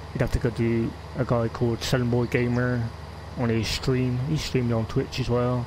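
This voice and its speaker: Noticeable background noise surrounds a man speaking at a medium pitch. He has a strong West Country accent. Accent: West Country, still strong. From West Country, England (Gloucestershire). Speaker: gaming streamer. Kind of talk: live gameplay stream chat. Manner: halting, many fillers.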